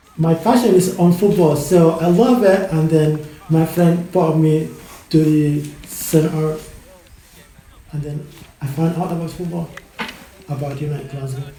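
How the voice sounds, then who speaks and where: A man with a Sudanese accent and fairly high pitch, fairly slow pace, fairly even intonation and long, frequent pauses, amid audible room echo and noticeable background noise. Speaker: student and amateur footballer. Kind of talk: interview.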